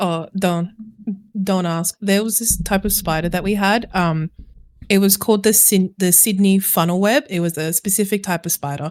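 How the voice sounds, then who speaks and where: A woman speaks with an Australian accent at medium pitch and a moderate pace. Her intonation is fairly even, and the sound is dry and close with no echo. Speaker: variety streamer. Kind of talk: casual chat.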